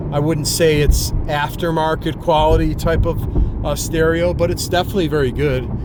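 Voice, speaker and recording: The speaker talks at a moderate pace amid noticeable background noise and audible room echo. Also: man, hardly any pauses. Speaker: car vlogger. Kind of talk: casual vlog. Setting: in a car. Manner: animated.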